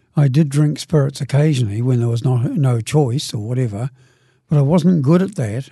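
This man, with a New Zealand accent, has a fairly high pitch, a dark, mellow tone that is somewhat breathy, ordinary pitch variation and a moderate pace. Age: 70s. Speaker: recovering alcoholic. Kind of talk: testimony.

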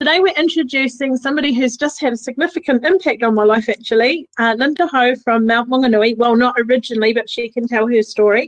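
In a New Zealand accent, a woman talks at a very fast pace and high pitch with hardly any pauses and ordinary pitch variation. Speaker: radio co-host. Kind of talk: casual chat. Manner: hesitant, many fillers.

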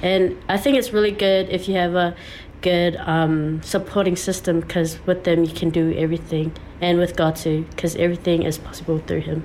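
A woman speaks with a Samoan accent and a fairly low pitch. Her loudness stays very even.

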